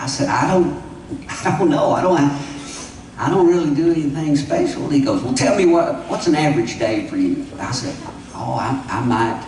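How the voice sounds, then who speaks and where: With an American accent, a man speaks at a moderate pace amid audible room echo and noticeable background noise. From Oklahoma, US. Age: 70s. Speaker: country singer-songwriter. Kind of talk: stage storytelling between songs. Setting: festival stage with audience.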